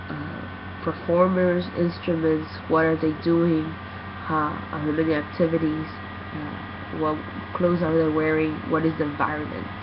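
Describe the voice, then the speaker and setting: Noticeable background noise runs beneath speech delivered very slowly. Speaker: student. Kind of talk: recorded class presentation. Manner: halting, many fillers.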